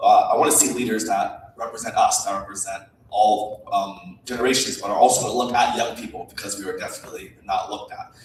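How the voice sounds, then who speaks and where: Over noticeable background noise and audible room echo, a man talks very fast with hardly any pauses and big swings in loudness. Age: 20s. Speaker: congressional candidate. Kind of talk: candidate forum opening statement. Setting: student-led panel with live audience.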